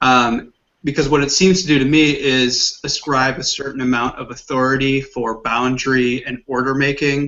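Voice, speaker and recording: A man at a medium pitch, with fairly even intonation and a moderate pace. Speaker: Bible study participant. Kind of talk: group Bible discussion. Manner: halting, hesitant.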